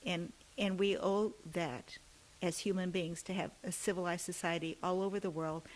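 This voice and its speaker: A woman has a normal speaking voice with an American accent. Her pitch is medium with ordinary variation. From US, Greek American family. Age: 60s. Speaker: state politician. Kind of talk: interview. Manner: many fillers and repetitions.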